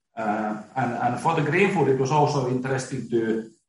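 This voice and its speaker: At a fairly slow pace, a man of medium pitch speaks with ordinary pitch variation and audible room echo. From Finland. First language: Finnish. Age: 40s. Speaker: company CEO. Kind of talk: interview. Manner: halting.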